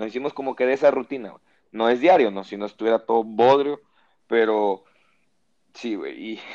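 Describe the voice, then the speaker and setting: An unremarkable speaking voice from a man, medium-pitched at a moderate pace, with a dry, close sound and no echo. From Mexico, Lerdo, Durango. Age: 20s. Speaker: podcast host. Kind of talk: casual chat.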